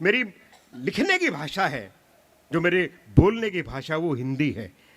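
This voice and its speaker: A man speaks with a bright, sharp tone and lively intonation. His pitch is high. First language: Punjabi (speaking Hindi). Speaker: comic poet. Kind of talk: stage poetry and comedy performance. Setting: stage with audience.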